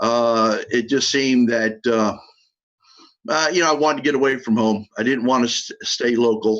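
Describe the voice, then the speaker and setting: The speaker has an American accent and talks at a moderate pace. Intonation is fairly even, and loudness stays very even. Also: man, medium pitch for a man. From US South, Miami, South Florida. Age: 60s. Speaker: former college football player. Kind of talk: interview.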